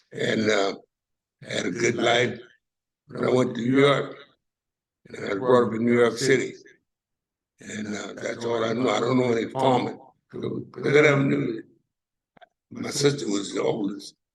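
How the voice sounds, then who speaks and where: Audible room echo surrounds a man of medium pitch who talks at a moderate pace with ordinary pitch variation and long, frequent pauses. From US South (Savannah, Georgia). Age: 80s+. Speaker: retired mechanic, panel guest. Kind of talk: casual testimony.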